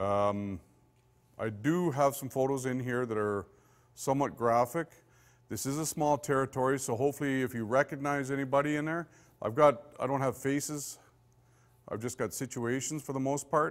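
In a Canadian accent, a man speaks at a moderate pace and medium pitch with ordinary pitch variation, long, frequent pauses, and a quiet background. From Saskatchewan, Canada. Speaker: police forensic investigator; police forensics instructor. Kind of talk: lecture. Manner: casual and conversational, with many fillers. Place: meeting room.

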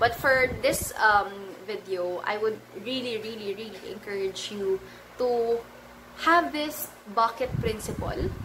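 At a very slow pace, a woman speaks at a fairly high pitch with ordinary pitch variation over noticeable background noise. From Philippines. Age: 20s. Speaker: personal finance vlogger. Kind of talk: vlog tutorial. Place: home room. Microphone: phone near.

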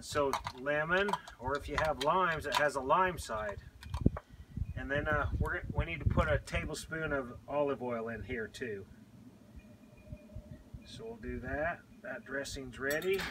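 Long, frequent pauses break up a man's fairly slow speech. Noticeable background noise is present. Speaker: home cook host. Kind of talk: cooking tutorial. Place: garden. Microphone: camera far.

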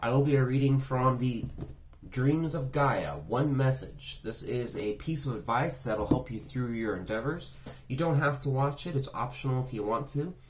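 Moderate pace from a male speaker, with light background noise behind him. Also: fairly even intonation. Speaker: tarot reader. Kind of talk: casual reading intro. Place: home room. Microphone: phone near.

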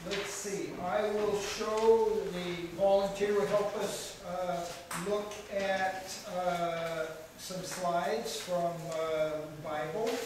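A man's high-pitched voice at a very slow pace, with fairly even intonation, strong room echo and noticeable background noise. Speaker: speaker. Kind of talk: lecture. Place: hall. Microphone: camera far.

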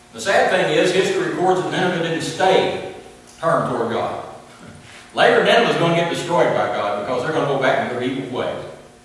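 A man at a fairly high pitch and fairly quick pace, with big pitch swings and strong room echo

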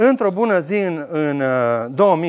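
At a fairly slow pace, the speech comes through in a very clean recording with a silent background. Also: man. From Romania, Oradea. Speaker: organic farmer. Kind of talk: talk to audience. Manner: halting.

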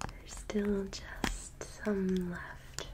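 A woman is whispering. Her words come out in a whisper. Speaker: ASMR artist. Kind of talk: ASMR personal attention role play. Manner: whispered, soft-spoken; quiet, cozy. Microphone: studio mic.

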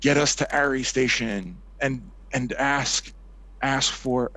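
Put-on character voice from a man, medium in pitch, at a very slow pace

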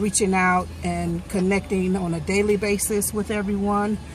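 Somewhat breathy, monotone and flat speech, with a dry sound, no echo, and light background noise. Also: woman. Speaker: vlogger. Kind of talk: casual vlog chat. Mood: warm, grateful, chatty. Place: car. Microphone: phone near.

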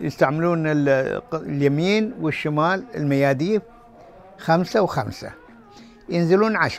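Man with a Qatari accent, lively intonation and a fairly slow pace, dry sound with no echo and faint music in the background. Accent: Qatari Gulf Arabic. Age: 80s+. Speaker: former pearl diver and bodybuilder. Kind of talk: interview answer. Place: shop.

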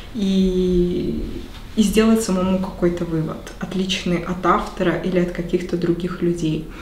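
Amid light background noise and audible room echo, a woman talks at a fairly slow pace. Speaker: book club participant. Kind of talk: group book discussion. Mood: engaged, reflective. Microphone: camera far.

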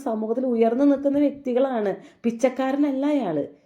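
Her voice has a dark, mellow tone as this woman speaks. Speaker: YouTube commentary vlogger. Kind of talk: commentary on controversy.

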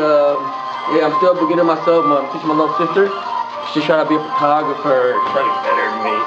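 Clear music plays behind a man speaking at a very fast pace. His pitch varies in an ordinary way. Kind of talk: casual vlog chat. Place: studio. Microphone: camera far.

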